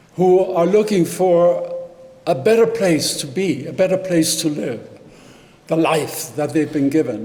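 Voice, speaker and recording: In a room with audible echo and noticeable background noise, a man speaks at a fairly slow pace with a high pitch. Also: ordinary pitch variation. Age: 80s+. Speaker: service leader leading joys and concerns. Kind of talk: church service announcements. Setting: hybrid service, in person and on Zoom. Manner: halting.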